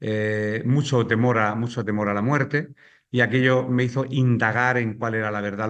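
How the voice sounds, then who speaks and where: Fairly even intonation in a Spanish accent. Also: man. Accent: Spanish from Spain. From Spain. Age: 60s. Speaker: pastor. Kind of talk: testimony. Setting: remote video call.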